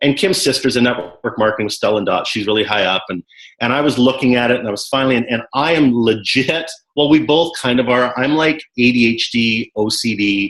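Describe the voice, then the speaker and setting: A man with a Canadian accent talks at a fairly quick pace in a normal speaking voice, medium in pitch with ordinary pitch variation. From Canada. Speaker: network marketing coach. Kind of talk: team call interview. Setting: conference call.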